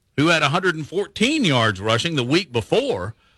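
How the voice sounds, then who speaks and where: Bright and sharp in tone, a man's fairly high voice shows vocal fry and very wide pitch swings in a dry, close sound with no echo. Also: very clean recording, silent background. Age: 70s. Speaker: sports radio co-host. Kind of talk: casual sports talk.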